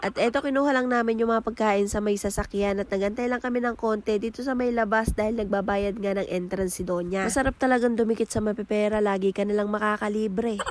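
A woman with a fairly high pitch and a playful tone talks at a very fast pace, with hardly any pauses, very even loudness and fairly even intonation. Noticeable background noise is present. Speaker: vlogger. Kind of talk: vlog narration.

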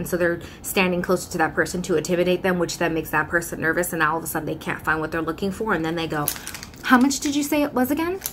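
A woman with a fairly low pitch speaks very fast in an animated tone. Her intonation is lively, over light background noise. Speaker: YouTuber and customer service worker; YouTuber. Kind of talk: casual vlog talk to camera. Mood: exasperated, sarcastic, animated. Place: home room. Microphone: phone near.

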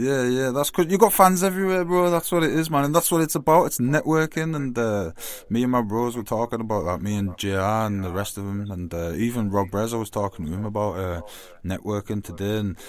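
A man talks at a fairly quick pace with very wide pitch swings. The sound is dry, with no echo. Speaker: phone-in guest. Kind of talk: casual radio interview chat.

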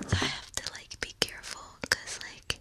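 A woman whispers at a fairly slow pace. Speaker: ASMR creator. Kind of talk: soft ASMR talk to viewer. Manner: soft close-mic ASMR talk. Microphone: studio mic.

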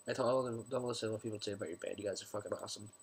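Noticeable background noise runs through this clip. The man's delivery comes at a very fast pace. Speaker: vlogger. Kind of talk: casual vlog. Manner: halting.

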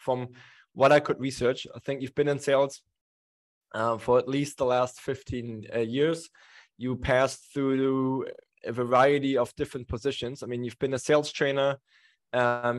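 A man talks at a moderate pace with monotone, flat intonation. The background is quiet. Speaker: webinar host. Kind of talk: webinar host introduction. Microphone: studio mic.

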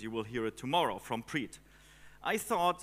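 A man's bright, sharp voice moves at a moderate pace. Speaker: conference speaker. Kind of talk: conference talk. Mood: joking, playful. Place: hall. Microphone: headset.

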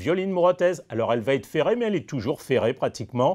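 The background is quiet. A man speaks with very wide pitch swings. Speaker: horse racing tipster host. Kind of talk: race preview with tips, analytical commentary on runners and bets. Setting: studio. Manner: fluent, measured, confident and informative. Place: studio.

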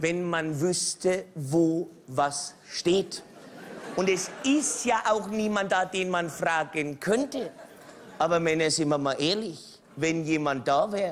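A man's high-pitched voice at a very slow pace, with ordinary pitch variation and light background noise. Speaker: comedian. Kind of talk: stand-up comedy monologue. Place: stage.

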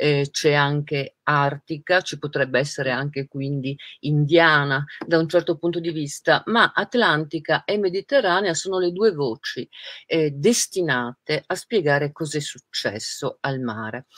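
Against a quiet background, a woman speaks at a fairly slow pace with ordinary pitch variation and a dry sound with no echo. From Trieste, northeast Italy; Italy. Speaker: writer and interviewer; interviewer. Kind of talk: interview. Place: home room. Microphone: video call.

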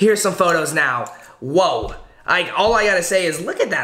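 The speech moves at a fairly quick pace. The background is quiet, with audible room echo. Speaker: vlogger host. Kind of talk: casual vlog chat. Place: home room.

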